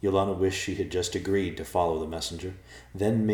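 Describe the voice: What we hear is plain reading aloud.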